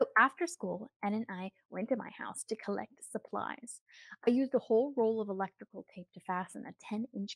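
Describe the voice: The background stays quiet. A speaker does plain reading aloud, with pitch varying in an ordinary way.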